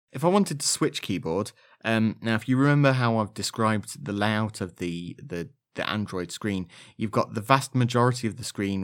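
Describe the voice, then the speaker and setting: A man with a slight Leicestershire accent speaks at a fairly quick pace in a fairly low pitch with lively intonation. The recording is very clean, with a silent background. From Leicestershire, England. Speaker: podcast host, blind Android user. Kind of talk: podcast monologue, scripted-sounding episode talk. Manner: informal, friendly, sometimes hesitant.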